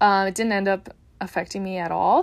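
With an American accent, a woman is talking. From Upper Peninsula of Michigan, US. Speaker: dietitian and podcast host. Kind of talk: casual solo podcast talk. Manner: casual with frequent fillers and laughs.

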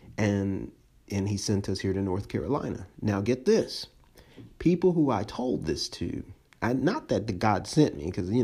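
Speaking at a moderate pace, a man uses an unremarkable speaking voice with a fairly low pitch. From US, moved around a lot. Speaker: pastor. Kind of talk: sermon. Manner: casual, conversational.

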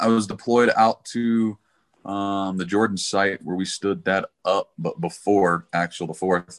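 A man with an American accent, fairly low pitch, a normal speaking voice, ordinary pitch variation and a fairly slow pace, in a dry, close sound with no echo. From Texas, Dallas. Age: 40s. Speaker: government contractor, fantasy football player. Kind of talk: casual chat.

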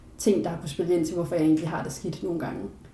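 With audible room echo around her, a woman speaks at a fairly low pitch and fairly even intonation. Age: 20s. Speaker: philosophy student, adoptee. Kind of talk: casual interview.

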